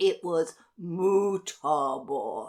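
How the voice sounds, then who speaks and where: A woman's cackling put-on character voice, fairly low in pitch, with lively intonation. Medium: read story. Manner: cackling, boastful.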